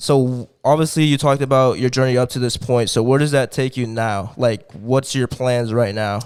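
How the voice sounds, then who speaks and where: An unremarkable speaking voice from a man at medium pitch, moderate pace and fairly even intonation, with hardly any pauses, in a very clean recording with a silent background. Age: young. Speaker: podcast co-host. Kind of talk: casual chat. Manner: casual, filler-heavy.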